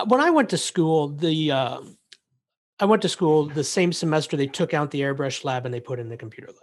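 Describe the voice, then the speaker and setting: An unremarkable speaking voice moves at a fairly quick pace, with big swings in loudness. The background is quiet. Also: man, fairly high pitch for a man, ordinary pitch variation. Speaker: podcast host. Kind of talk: casual interview. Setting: video call.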